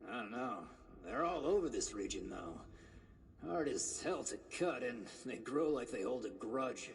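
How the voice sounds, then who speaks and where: Using a raspy, put-on character voice at medium pitch, a man speaks at a moderate pace with long, frequent pauses over clear background noise. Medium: video game. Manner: wry, sarcastic.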